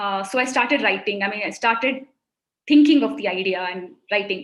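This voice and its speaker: A fairly quick pace in a Kannada accent. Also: woman, fairly high pitch for a woman, ordinary pitch variation. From India, Mumbai. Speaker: children's author. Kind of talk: interview on a webinar. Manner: halting.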